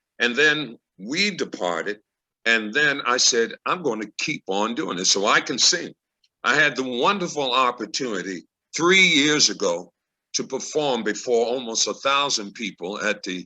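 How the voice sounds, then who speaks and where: Against a quiet background, a bright, sharp tone rises and falls in very wide pitch swings. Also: man. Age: 70s. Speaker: actor and Frederick Douglass reenactor. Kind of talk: testimony. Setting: video call.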